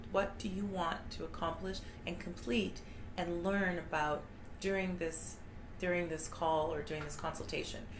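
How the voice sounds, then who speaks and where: A woman at a fairly low pitch and moderate pace, fairly even in intonation, with audible room echo and noticeable background noise. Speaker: immigration lawyer. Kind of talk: informational talk. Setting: live video stream.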